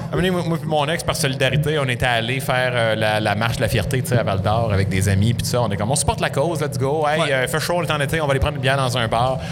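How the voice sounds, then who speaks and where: A man talks at a very fast pace with hardly any pauses and very even loudness. Audible room echo and noticeable background noise come through. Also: medium pitch for a man, ordinary pitch variation. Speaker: podcast host. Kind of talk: casual chat.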